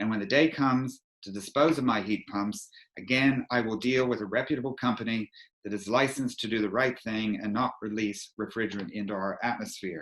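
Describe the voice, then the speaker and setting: With a North American accent and an unremarkable speaking voice, a man talks at a medium pitch and a fairly quick pace, his pitch varying in an ordinary way. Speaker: energy advisor. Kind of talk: presentation. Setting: video call.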